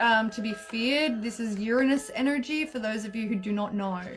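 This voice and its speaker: Music plays in the background as a woman with an Australian accent speaks at a moderate pace in a fairly high pitch. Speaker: astrologer and tarot reader. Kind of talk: live stream tarot channelling and guided breathing. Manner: high energy.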